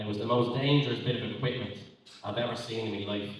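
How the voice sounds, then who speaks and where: At a very fast pace, a man with a medium pitch and an Irish accent speaks with ordinary pitch variation. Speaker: spoken word poet. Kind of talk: live stand-up style banter with audience. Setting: live festival stage. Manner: rambling, casual.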